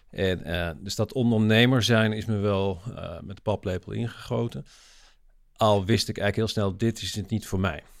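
On a very clean recording with a silent background, a man speaks at a moderate pace. His pitch is fairly low and varies in an ordinary way. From Netherlands, Limburg. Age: 40s. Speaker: social entrepreneur, nonprofit founder. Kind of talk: interview conversation.

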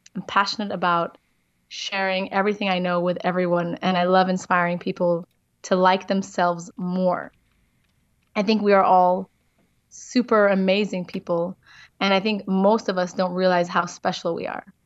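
A woman's medium-pitched voice at a moderate pace, monotone and flat, over a quiet background. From multicultural family, South African and Israeli parents, born in Amsterdam. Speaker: wellness coach. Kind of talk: interview. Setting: remote call.

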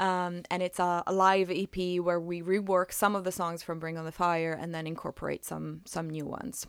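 A woman speaks at a moderate pace in a fairly low, flat monotone, with hardly any pauses, on a very clean recording with a silent background. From Italy. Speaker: musician and school music teacher. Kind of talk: interview. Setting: radio studio, in person.

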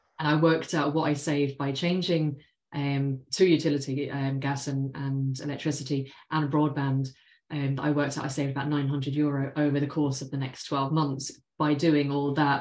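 The speaker talks at a moderate pace in an English accent with monotone, flat intonation. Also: woman, very deep, low pitch for a woman. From London, England. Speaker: financial planner. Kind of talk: interview.

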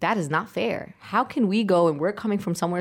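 Very fast speech with ordinary pitch variation on a very clean recording against a silent background. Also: woman. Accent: New York. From Brooklyn, New York. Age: 30s. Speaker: community organizer. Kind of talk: interview storytelling.

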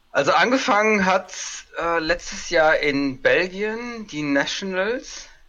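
A man's high-pitched voice with lively intonation at a very slow pace, over noticeable background noise. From Germany, Kaiserslautern (Palatinate). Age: 30s. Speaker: tabletop game player. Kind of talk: casual chat.

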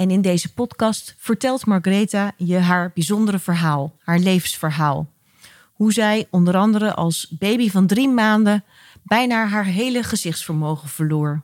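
A woman at medium pitch with ordinary pitch variation and a fairly slow pace, a normal speaking voice, in a dry, close sound with no echo. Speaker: podcast host. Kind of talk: interview, calm conversation.

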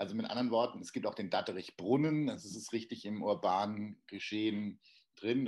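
A man's fairly low voice at a moderate pace, an ordinary speaking voice with ordinary pitch variation. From Darmstadt, Hesse. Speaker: playwright. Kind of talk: casual interview. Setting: remote from Hamburg.

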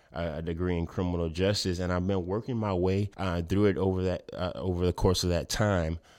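Delivery is fairly quick with hardly any pauses, in monotone, flat intonation. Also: man, very deep, low pitch for a man. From Lafayette, Louisiana. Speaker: community activist. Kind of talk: interview.

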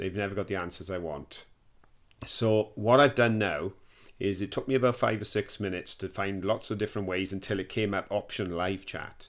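A man talks at a fairly quick pace, with a fairly low pitch and fairly even intonation. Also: very clean recording, silent background. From Wales. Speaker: podcast host. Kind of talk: casual chat.

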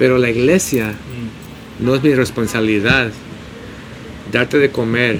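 Over noticeable background noise, a medium-pitched man talks at a moderate pace with fairly even intonation. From San Diego, California; Mexican-Bolivian family. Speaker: pastor and restaurant owner. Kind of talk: casual chat. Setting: outdoors, street cafe.

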